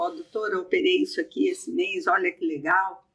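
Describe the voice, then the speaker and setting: Very wide pitch swings in a woman's high voice. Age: 60s. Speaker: eye surgeon and hospital director. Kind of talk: podcast conversation.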